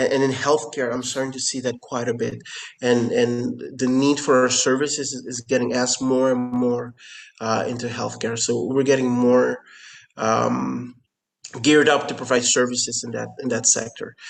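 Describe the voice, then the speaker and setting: With music in the background, a man speaks at a moderate pace in a monotone, flat intonation. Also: medium pitch for a man. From Curacao, Caribbean. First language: Papiamento. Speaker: company founder and CEO. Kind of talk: interview. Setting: remote call. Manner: halting, many fillers and repetitions.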